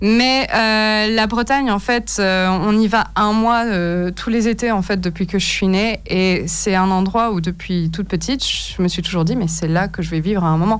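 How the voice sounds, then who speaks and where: In a normal speaking voice, a woman talks at a medium pitch and a fairly slow pace, with very even loudness and hardly any pauses. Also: ordinary pitch variation. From Paris region, France. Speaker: painter. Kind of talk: radio interview. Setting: radio studio.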